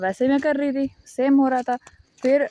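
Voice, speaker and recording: The sound is close and dry, without echo. It's a woman talking. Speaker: YouTuber. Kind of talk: casual vlog monologue. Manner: casual, conversational.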